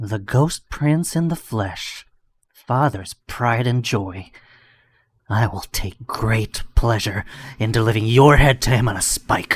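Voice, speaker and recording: In a put-on character voice, a man talks at a fairly slow pace and medium pitch, recorded very cleanly against a silent background. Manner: taunting.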